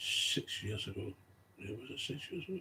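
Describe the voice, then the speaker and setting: A man speaks fairly quickly with a strong Glaswegian accent. His voice is somewhat breathy, with lively intonation. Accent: Glasgow accent, strong. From Scotland, Glasgow. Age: 60s. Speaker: recovering alcoholic vlogger. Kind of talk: personal monologue. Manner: rambling, hesitant.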